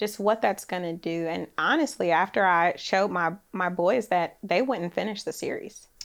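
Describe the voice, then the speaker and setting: A woman with an American accent and an unremarkable speaking voice, medium in pitch with ordinary pitch variation, hardly any pauses, on a very clean recording with a silent background. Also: moderate pace. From Oakland, California. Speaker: real estate developer. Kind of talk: interview. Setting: studio. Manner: soft-spoken.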